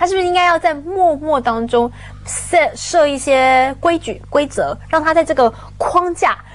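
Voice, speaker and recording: Speaking at a fairly slow pace in a Taiwanese accent, a woman has a high pitch and ordinary pitch variation. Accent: Taiwanese Mandarin. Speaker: talk show guest commentator. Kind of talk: casual panel chat. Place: studio.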